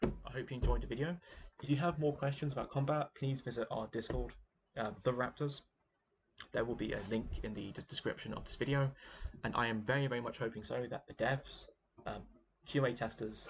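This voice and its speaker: Somewhat breathy and at medium pitch, a man talks at a fairly quick pace with fairly even intonation, broken by long, frequent pauses. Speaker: gaming video creator. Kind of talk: game commentary monologue. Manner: halting, many fillers and repetitions.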